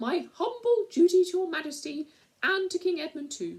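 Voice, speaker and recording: An extremely high, squeaky, shrill put-on character voice speaks at a moderate pace. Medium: read story. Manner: formal, courtly.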